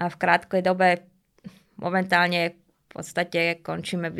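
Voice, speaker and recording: The recording is very clean, with a silent background. A woman speaks with a fairly low pitch. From Slovakia, Bratislava. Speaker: dog trainer. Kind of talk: interview. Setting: studio.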